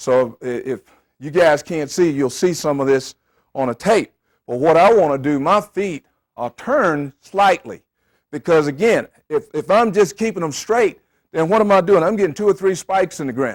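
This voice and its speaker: This man talks at a moderate pace with a high pitch, an animated tone and lively intonation. The recording is very clean and the background silent. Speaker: football coach. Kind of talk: coaching clinic lecture. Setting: clinic with audience of coaches.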